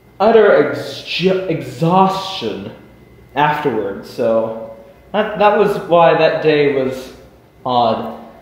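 A man's high voice at a very slow pace, with audible room echo. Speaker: vlogger. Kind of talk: casual vlog chat. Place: garage. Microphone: webcam.

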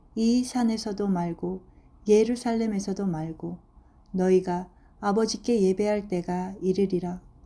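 A woman talks at a fairly slow pace with a somewhat breathy voice. Her pitch sits in the medium range and her intonation stays fairly even. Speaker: Bible reader. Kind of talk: reading aloud.

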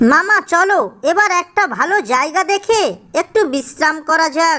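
In a cartoonish character voice, a woman speaks at an extremely high pitch. Her pace is fairly slow. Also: lively intonation, very even loudness.

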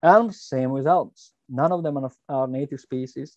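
A man speaks at a medium pitch with a dark, mellow tone. His intonation is fairly even, and the sound is dry and close with no echo.

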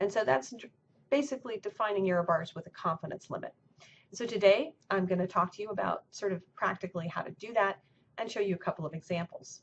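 Over light background noise, a woman talks very fast with ordinary pitch variation. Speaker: university professor. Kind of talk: lecture. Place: office. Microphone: webcam.

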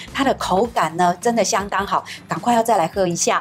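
Faint music plays in the background. Over it, a woman speaks at a fairly quick pace. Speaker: talk show host. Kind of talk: interview host chat. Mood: cheerful, warm. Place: studio. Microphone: lapel.

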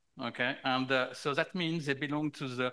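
A man talks with a bright, sharp tone at a moderate pace. His pitch varies in an ordinary way over a quiet background. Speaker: conference moderator. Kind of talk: panel moderation. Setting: stage with audience. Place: hall.

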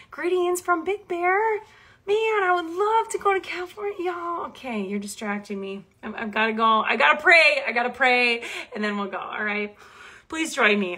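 A raised, projected voice at a moderate pace, animated in tone, with very wide pitch swings against a quiet background. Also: woman, high pitch for a woman. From Minnesota. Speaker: Bible teacher. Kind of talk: casual live stream chat. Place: home room. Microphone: phone near.

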